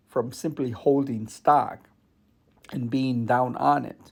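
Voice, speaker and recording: Someone with a normal speaking voice talks at a fairly slow pace. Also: man. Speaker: investing youtuber. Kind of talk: tutorial.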